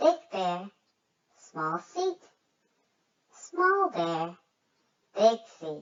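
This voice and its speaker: Playful tone at a very slow pace, with long, frequent pauses. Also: woman. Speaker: kids' channel reader. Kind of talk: children's book read-aloud. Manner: playful, expressive.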